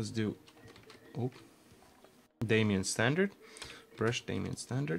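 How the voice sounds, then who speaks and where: Long, frequent pauses break up the speech of a man with a Latvian accent, medium pitch and lively intonation. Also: fairly slow pace. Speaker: game artist streamer. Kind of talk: casual live stream chat while working. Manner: relaxed, halting with fillers.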